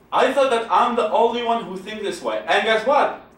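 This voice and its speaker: A man talks at a high pitch with an Iraqi accent. Noticeable background noise runs behind him. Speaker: secular activist, founder. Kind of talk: public talk.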